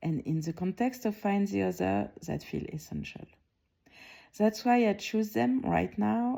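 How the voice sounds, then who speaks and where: A woman speaks at a fairly slow pace with a French accent and a calm tone. The recording is very clean, with a silent background. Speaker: art curator. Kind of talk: award announcement speech, prerecorded. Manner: calm, reflective; some hesitations and restarts.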